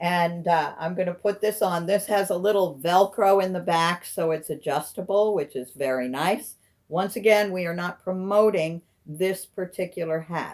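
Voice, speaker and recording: At a moderate pace, a woman speaks in an unremarkable speaking voice, fairly low in pitch with ordinary variation, on a very clean recording with a silent background. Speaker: caregiver. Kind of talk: casual talk to camera.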